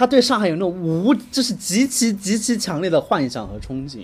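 An animated man with a high pitch and very wide pitch swings. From Guizhou, Guiyang. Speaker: podcast co-host. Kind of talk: casual chat. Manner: animated, laughing often.

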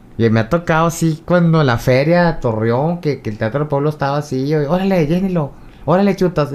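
A man's animated, fairly high voice, ordinary pitch variation, hardly any pauses and a moderate pace. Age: 40s. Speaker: comedian. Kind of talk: casual interview. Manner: animated, laughing.

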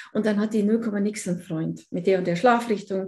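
A woman's fairly high, somewhat breathy voice with a dark, mellow tone, ordinary pitch variation and a moderate pace. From Allgäu, Bavaria, southern Germany. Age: 50s. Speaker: feng shui consultant. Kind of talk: casual interview chat.

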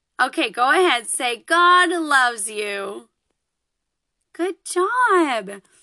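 Against a quiet background, a woman uses a raised, projected voice with a high pitch and a bright, sharp tone. She talks at a very slow pace with very wide pitch swings and long, frequent pauses. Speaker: children's podcast host. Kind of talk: children's lesson. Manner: animated.

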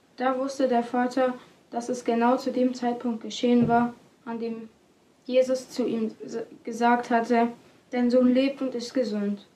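A woman speaks fairly slowly in a high-pitched voice with a dark, mellow tone. Her intonation is monotone and flat, broken by long, frequent pauses. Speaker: podcast announcer and scripture reader. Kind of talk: reading aloud.

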